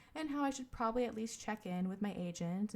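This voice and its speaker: A soft-spoken woman talks at a fairly quick pace with a somewhat breathy voice. Her pitch varies in an ordinary way. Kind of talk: audiobook-style reading of a book excerpt.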